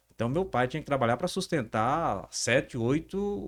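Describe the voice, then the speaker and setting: A man with very wide pitch swings, on a very clean recording with a silent background. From northern Brazil, Pará (Altamira). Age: 40s. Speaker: entrepreneur. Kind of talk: interview. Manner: halting, repeats words.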